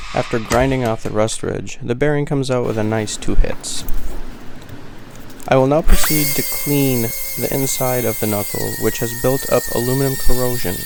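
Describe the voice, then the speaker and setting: Over noticeable background noise, a man with a calm tone speaks at a medium pitch with fairly even intonation. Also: moderate pace. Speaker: auto mechanic. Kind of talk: tutorial narration. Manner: measured, scripted-sounding.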